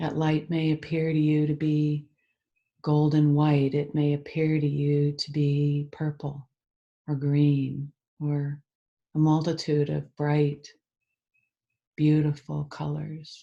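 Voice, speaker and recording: Soft-spoken and very slow, a woman with a very deep, low pitch and a dark, mellow tone speaks in a monotone, flat intonation, with long, frequent pauses against a quiet background. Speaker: EFT tapping practitioner. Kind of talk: guided meditation. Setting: video call.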